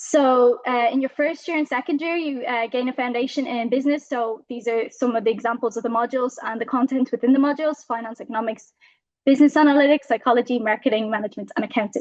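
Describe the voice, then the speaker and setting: A high-pitched woman's voice at a very fast pace, fairly even in intonation, dry and close with no echo, over a quiet background. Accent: Irish. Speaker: university student. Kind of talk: presentation.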